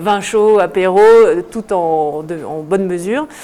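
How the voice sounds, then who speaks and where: A woman at medium pitch over noticeable background noise. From southern France (Lozère/Nîmes), then Alpe d'Huez from age 7. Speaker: ski instructor. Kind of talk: casual interview on morning show.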